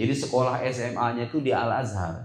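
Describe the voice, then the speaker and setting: Audible room echo surrounds a somewhat breathy man. He talks at a moderate pace with ordinary pitch variation. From Indonesia, Sukabumi (West Java), moved to Tangerang. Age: young. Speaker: Islamic preacher. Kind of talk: school talk show. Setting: school hall with student audience. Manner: casual, conversational.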